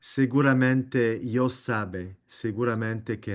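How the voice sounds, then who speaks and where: Speaking at a very slow pace with a non-native accent, a man is heard against a quiet background. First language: not Spanish (speaking Spanish). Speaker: meeting moderator. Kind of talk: group discussion moderation. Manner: halting.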